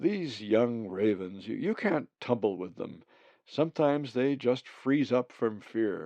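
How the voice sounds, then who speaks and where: A man performs a booming, put-on character voice at a medium pitch. He speaks at a fairly slow pace over a quiet background. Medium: read story. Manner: formal, stiff.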